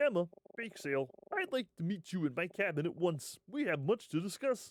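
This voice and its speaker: A man's put-on character voice, high-pitched, with very wide pitch swings at a moderate pace, in a dry, close sound with no echo. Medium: game stream. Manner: measured, authoritative.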